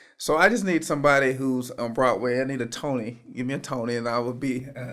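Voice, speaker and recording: Noticeable background noise sits behind this man. He speaks at a very fast pace with ordinary pitch variation. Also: medium pitch for a man. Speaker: real estate agent, fashion designer. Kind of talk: podcast interview answer. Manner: soft-spoken.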